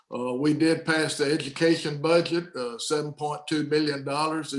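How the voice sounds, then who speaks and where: In a Southern US accent, a man speaks at a fairly high pitch. His delivery is a flat monotone at a moderate pace. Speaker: state senator. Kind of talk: policy briefing. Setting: video call.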